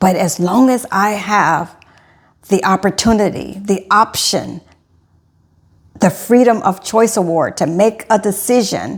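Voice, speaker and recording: Vocal fry in a woman's voice, pitch varying in an ordinary way. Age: 60s. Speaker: health and wellness coach. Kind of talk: direct-to-camera vlog monologue. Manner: casual, self-correcting speech.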